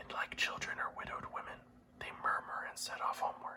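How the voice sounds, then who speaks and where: Whispering at a moderate pace. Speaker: ASMR reader. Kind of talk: classic epic poetry reading for sleep. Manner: whispered.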